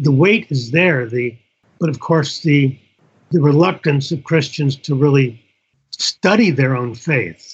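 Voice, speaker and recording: In a Midwestern accent, a man speaks with a fairly high pitch and a somewhat breathy voice. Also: ordinary pitch variation. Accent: general American, Midwestern. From US Midwest, northern Indiana. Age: 70s. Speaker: author and former pastor. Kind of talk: interview.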